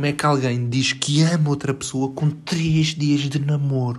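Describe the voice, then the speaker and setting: With a European Portuguese accent, a man speaks in a fairly high, monotone, flat voice with hardly any pauses over noticeable background noise. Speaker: podcaster. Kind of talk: casual monologue. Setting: bedroom at home.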